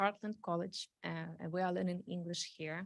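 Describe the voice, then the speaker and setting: A woman speaks with a Ukrainian accent and ordinary pitch variation. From Ukraine. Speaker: refugee speaking at council meeting. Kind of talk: public testimony. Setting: city council meeting. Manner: halting, many fillers.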